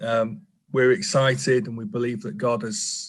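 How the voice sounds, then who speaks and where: Somewhat breathy, a man talks at a fairly slow pace in a room with audible echo. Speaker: pastor. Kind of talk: church talk; interview.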